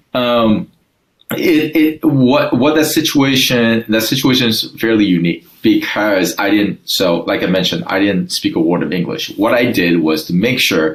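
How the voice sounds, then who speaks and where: His pitch leaps up and down over a very wide range. The man keeps to a medium speed. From Taiwan, moved to Southern California at thirteen. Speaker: sales and business leader. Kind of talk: interview. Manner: halting, many fillers and restarts.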